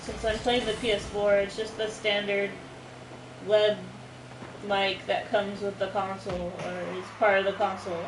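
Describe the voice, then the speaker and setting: Woman at medium pitch with monotone, flat intonation and a moderate pace, amid audible room echo and noticeable background noise. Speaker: gamer streamer. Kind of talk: casual chat during gameplay. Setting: livestream while gaming. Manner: loud, projected.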